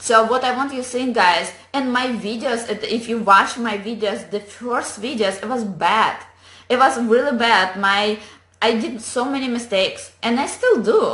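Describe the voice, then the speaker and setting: A woman with a non-native accent speaks at a moderate pace in a fairly high, bright and sharp voice, with audible echo in the room. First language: not English. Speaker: online business coach. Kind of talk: motivational talk to camera. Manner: animated.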